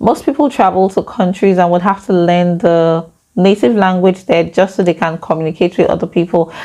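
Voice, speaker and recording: A woman with a Nigerian accent, fairly quick in pace and very even in loudness. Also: medium pitch for a woman, ordinary pitch variation. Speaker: YouTuber. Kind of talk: vlog talk to camera. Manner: fast.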